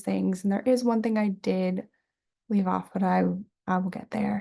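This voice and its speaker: A somewhat breathy female voice, dark and mellow in tone. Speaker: student. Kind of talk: class presentation video. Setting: home bedroom, recording on camera.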